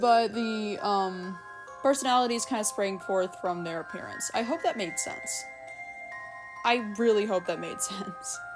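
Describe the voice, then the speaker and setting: A woman speaks at a fairly slow pace in a medium pitch, her voice swinging very widely in pitch, with music playing behind her. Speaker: digital artist. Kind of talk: unscripted Q&A talk to camera. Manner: rambling, awkward.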